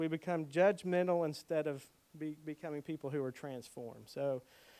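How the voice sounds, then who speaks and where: Speaking at a fairly quick pace in a fairly high pitch, a man with an unremarkable speaking voice uses ordinary pitch variation in a dry, close sound with no echo. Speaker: pastor teaching a preaching workshop. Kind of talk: workshop talk on preaching.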